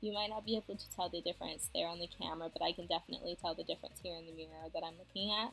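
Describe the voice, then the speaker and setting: With music playing in the background, a woman speaks using ordinary pitch variation. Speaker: beauty vlogger. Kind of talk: makeup tutorial talk to camera. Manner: quiet, low volume.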